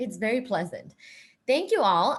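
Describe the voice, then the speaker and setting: A woman's somewhat breathy voice. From Thailand. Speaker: professor. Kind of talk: interactive lecture.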